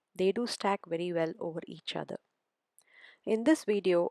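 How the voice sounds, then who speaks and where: In a Tamil accent, a woman speaks at a medium pitch. The sound is dry and close, with no echo. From South India. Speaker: crafter, product reviewer. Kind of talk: tutorial.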